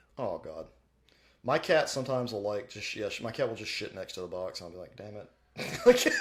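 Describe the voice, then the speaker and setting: A man talking at a fairly quick pace. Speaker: podcast co-host. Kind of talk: casual chat.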